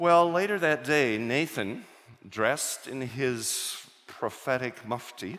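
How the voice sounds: Slow and medium-pitched, a man speaks with a fairly bright tone. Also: ordinary pitch variation.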